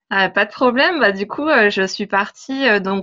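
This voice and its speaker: Against a quiet background, this woman's voice sits fairly high, its pitch rising and falling in an ordinary way. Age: 30s. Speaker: travel blogger and translator. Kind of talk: interview.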